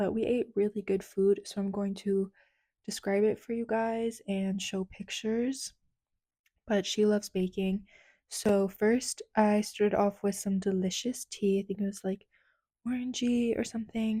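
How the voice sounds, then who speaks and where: A woman with an American accent, medium pitch and a dark, mellow tone, somewhat breathy, fairly slow and monotone, flat in intonation, on a very clean recording with a silent background. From United States. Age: 20s. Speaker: lifestyle vlogger. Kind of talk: casual vlog narration. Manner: soft-spoken.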